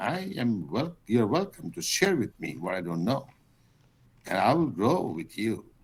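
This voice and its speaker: A man speaks at a moderate pace with very wide pitch swings. His voice carries vocal fry. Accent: American. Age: 80s+. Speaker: teacher. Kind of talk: casual chat.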